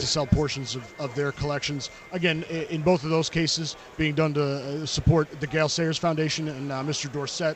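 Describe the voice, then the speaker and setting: A man talks fairly quickly in a fairly high, flat monotone with hardly any pauses. Noticeable background noise is present. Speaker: auction house representative. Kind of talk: radio interview answer. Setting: live radio row event.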